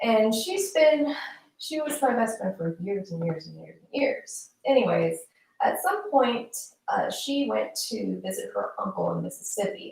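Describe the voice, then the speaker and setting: Soft-spoken, a woman talks at a fairly slow pace. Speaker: livestream commentator. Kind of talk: casual livestream monologue. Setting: live stream. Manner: soft-spoken, very quiet. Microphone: built-in mic, low level instead of usual external mic.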